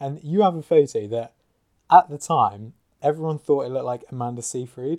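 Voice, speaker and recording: With a plain, everyday voice, a man speaks at a fairly quick pace, his fairly high pitch showing ordinary variation. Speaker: podcast host. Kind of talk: casual interview chat.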